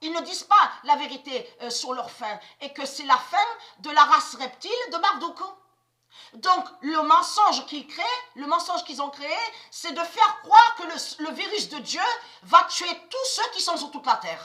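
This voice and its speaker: Raised and projected, a woman's extremely high, bright, sharp voice has lively intonation and big swings in loudness, moving at a fairly slow pace with long, frequent pauses. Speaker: conspiracy video blogger. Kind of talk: religious monologue to camera. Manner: halting, repetitive.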